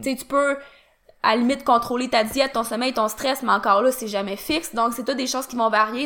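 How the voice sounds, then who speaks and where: Using fairly even intonation, a woman talks with a Quebec accent. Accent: Québécois French. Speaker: fitness podcast co-host. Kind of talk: casual chat.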